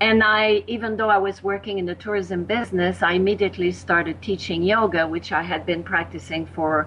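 A woman with a French accent speaks at a fairly low pitch with fairly even intonation. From Quebec, Canada. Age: 60s.

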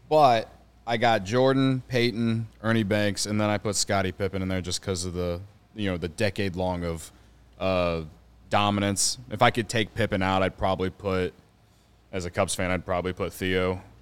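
A man's very deep, low voice with an American accent, ordinary pitch variation and a moderate pace. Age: 30s. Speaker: baseball podcaster. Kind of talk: casual chat.

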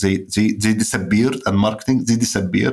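A man with an Arabic accent, medium pitch, and ordinary pitch variation, on a very clean recording with a silent background. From Egypt. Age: 30s. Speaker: writer. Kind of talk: interview conversation. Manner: halting.

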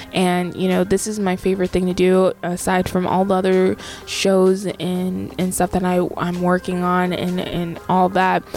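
A woman's flat, monotone voice with hardly any pauses, music playing in the background. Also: medium pitch for a woman, fairly slow pace. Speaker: podcast host and DJ. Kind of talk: radio DJ patter, podcast host intro. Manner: chatty, casual, filler-heavy.

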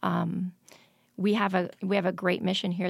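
A woman with an American accent speaks at a moderate pace with fairly low pitch and vocal fry. Her intonation is monotone and flat on a very clean recording with a silent background. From Michigan, small town. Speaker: hospital administrator. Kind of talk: interview.

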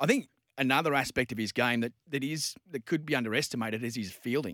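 With dry, close sound and no echo, a man speaks at a medium pitch with fairly even intonation. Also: very clean recording, silent background. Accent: Australian. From Newcastle, Australia. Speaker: sports MC and commentator. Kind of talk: casual chat. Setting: radio studio.

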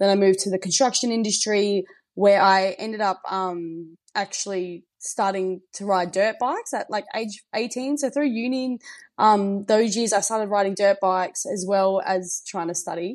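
Someone speaks with an Australian accent at a moderate pace and ordinary pitch variation against a quiet background. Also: woman. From South Australia, Riverland. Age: 20s. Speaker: podcast guest sharing personal story. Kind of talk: casual interview, personal testimony. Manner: animated, high energy.

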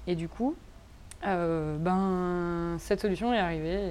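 Fairly even intonation in a dark, mellow tone. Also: woman. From France. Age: 20s. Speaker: tattoo artist and illustrator. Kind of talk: casual interview. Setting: outdoor garden. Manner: halting.

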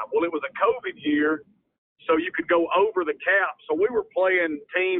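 The speaker has a Mississippi accent. The pace is moderate. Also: man. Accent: Southern US, rural Mississippi. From Mississippi, US South. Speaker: college football head coach. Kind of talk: interview.

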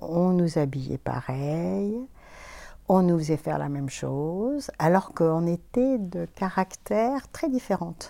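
A dark, mellow tone at a very slow pace on a very clean recording with a silent background. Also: woman. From France, Auvergne (Clermont-Ferrand). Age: 60s. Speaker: retired psychoanalyst. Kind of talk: interview testimony. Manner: hesitant, with fillers.

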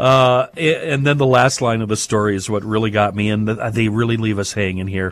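A man's normal speaking voice with fairly low pitch, ordinary pitch variation, a moderate pace and hardly any pauses. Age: 50s. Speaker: radio host. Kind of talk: casual chat.

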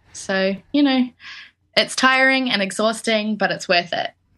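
Over a quiet background, a woman with a New Zealand accent speaks in a bright, sharp tone at a fairly high pitch. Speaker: musician, songwriter. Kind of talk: interview.

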